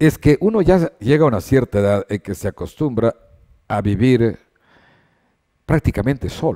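A man's dark, mellow tone at a medium pitch, with lively intonation, a moderate pace and long, frequent pauses over a quiet background. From Ecuador. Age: 70s. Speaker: sports journalist. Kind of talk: interview. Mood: warm, reflective about family. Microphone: headset.

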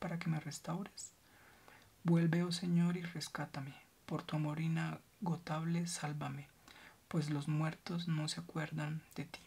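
Speaking rather slowly, the voice is soft-spoken. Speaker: ASMR reader. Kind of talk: ASMR scripture reading. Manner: soft-spoken ASMR reading voice.

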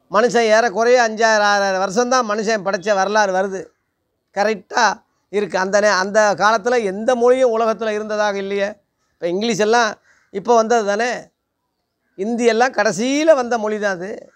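A man speaks with a high pitch and fairly even intonation against a quiet background. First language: Telugu (speaking Tamil). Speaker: preacher. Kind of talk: sermon. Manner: halting. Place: home room. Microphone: phone near.

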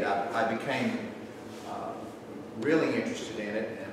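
Amid noticeable background noise and strong room echo, a man with a Tennessee accent talks at a fairly slow pace. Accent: Tennessee, Southern US. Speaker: lecturer, historic preservationist. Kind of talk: lecture. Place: hall. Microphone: camera far.

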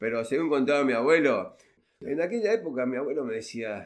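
A man speaks at a fairly quick pace in a fairly high pitch. His voice swings very widely in pitch. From Argentina, Rosario. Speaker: relative of a football pioneer. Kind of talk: interview.

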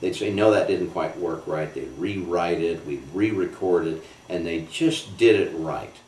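A man talks with audible room echo and light background noise. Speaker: voice actor. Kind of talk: interview answer. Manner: casual, chatty. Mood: warm, relaxed. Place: home room.

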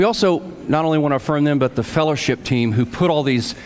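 Crowd noise fills the background as a man talks. His pace is very fast, with ordinary pitch variation. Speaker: pastor leading worship. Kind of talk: church welcome announcements. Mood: warm, welcoming. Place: church.

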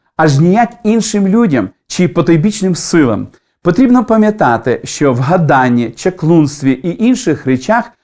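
A man's high pitch with very wide swings, a dark, mellow tone, and a fairly slow pace. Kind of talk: devotional talk with prayer. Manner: formal, didactic.

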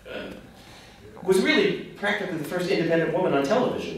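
Speech comes at a fairly quick pace through strong room echo and light background noise. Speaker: Q&A moderator. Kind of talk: interview questions. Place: stage.

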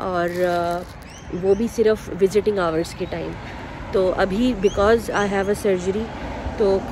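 Over noticeable background noise, a woman talks at a fairly slow pace with monotone, flat intonation. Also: dry sound with no echo. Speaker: vlogger before surgery. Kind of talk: casual vlog chat. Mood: calm, slightly tense. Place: street. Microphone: phone near.

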